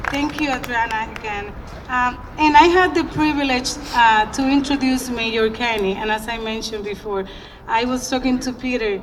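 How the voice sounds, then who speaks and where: A woman with a Spanish accent talks in a high voice at a moderate pace, with ordinary pitch variation. The recording has audible room echo and noticeable background noise. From Dominican Republic. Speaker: community leader. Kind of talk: public speech. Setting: outdoor ceremony. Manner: animated.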